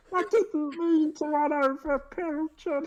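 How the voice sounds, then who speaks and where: This put-on character voice is high-pitched and moves at a fairly slow pace. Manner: mournful.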